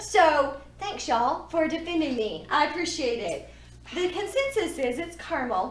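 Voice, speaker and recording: Animated woman with a Texan accent, lively intonation and a fairly slow pace, in a room with audible echo. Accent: Texan Southern US. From Texas. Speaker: podcast co-host, yarn shop owner. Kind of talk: casual chat. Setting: yarn store.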